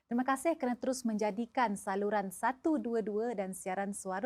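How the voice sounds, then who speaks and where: A woman has a normal speaking voice, pitched fairly high, with ordinary pitch variation. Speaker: TV talk show host. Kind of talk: TV show opening to viewers.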